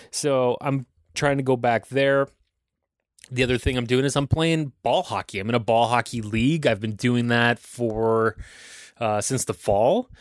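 Over a quiet background, a man with an Ontario accent speaks at a fairly slow pace and a medium pitch, his intonation fairly even and the sound dry and close with no echo. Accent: Canadian (Ontario). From Ontario, Canada (Aurora). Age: 30s. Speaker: podcast host. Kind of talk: casual solo monologue.

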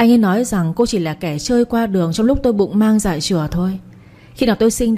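The recording carries a natural reading voice. It is the only trait on display.

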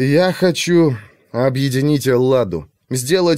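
Ordinary pitch variation shapes a natural reading voice over a quiet background.

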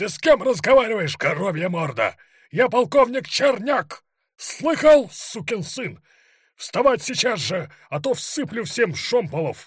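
A put-on character voice shouting with big pitch swings and a slightly husky edge, at a fairly slow pace, in a very clean recording with a silent background. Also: man, high pitch for a man.

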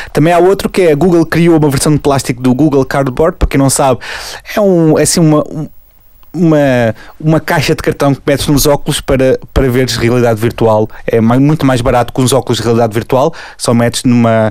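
In a plain, everyday voice, a man talks at a fairly quick pace with a fairly high pitch, ordinary pitch variation and very even loudness. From Portugal, Lisbon area. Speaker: podcast co-host. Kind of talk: casual chat.

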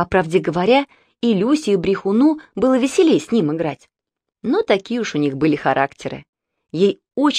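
The speaker reads naturally, and the background is quiet.

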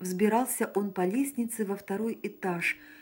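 The clip carries an unforced reading voice.

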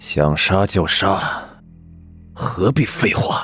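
Over faint background music, a man in a put-on character voice talks at a very slow pace with a fairly low pitch. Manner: defiant, stern.

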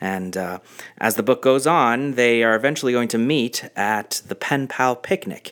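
Here a natural reading voice carries ordinary pitch variation.

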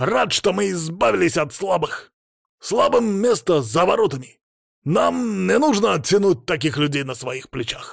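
On a very clean recording with a silent background, a man uses a put-on character voice at a high pitch and fairly slow pace, with lively intonation, vocal fry and a slightly husky edge.

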